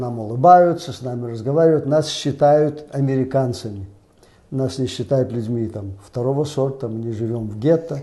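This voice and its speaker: Somewhat breathy and dark, mellow in tone, a man talks at a moderate pace and medium pitch with ordinary pitch variation and big swings in loudness. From Minsk, Belarus. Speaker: guest commentator. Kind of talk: discussion show.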